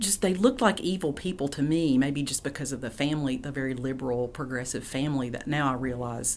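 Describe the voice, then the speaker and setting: Lively intonation from a woman with a very deep, low voice in an Appalachian accent. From East Tennessee, Appalachia. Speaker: poet and professor. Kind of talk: interview answer.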